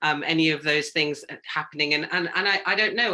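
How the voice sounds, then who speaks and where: This speaker talks at a fairly quick pace with a British accent. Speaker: panelist, human rights advocate. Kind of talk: panel discussion. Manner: halting, with many repetitions.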